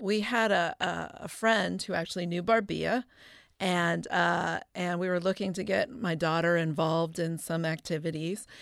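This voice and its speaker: A woman with an American accent and an unremarkable speaking voice talks at a fairly slow pace and fairly low pitch, with ordinary pitch variation, on a very clean recording with a silent background. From Chicago. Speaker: astronomer. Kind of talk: roundtable discussion.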